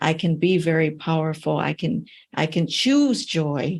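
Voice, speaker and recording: A woman speaks at a fairly slow pace in an ordinary speaking voice, pitched fairly low. The background is quiet. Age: 60s. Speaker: podcast host, anti-trafficking professor. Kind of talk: interview.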